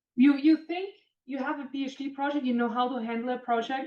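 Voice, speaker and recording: A woman in a German accent talks at a fairly quick pace with ordinary pitch variation. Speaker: composites industry manager and engineer. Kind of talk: career talk to students.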